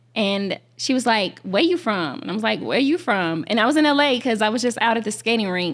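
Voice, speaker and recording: A woman with an Alabama accent, fairly high-pitched, at a fairly quick pace with hardly any pauses, on a very clean recording with a silent background. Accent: Southern US (Alabama). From Alabama, Shelby County near Birmingham. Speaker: content creator. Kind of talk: interview. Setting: film festival podcast recording. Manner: casual, hesitant with fillers.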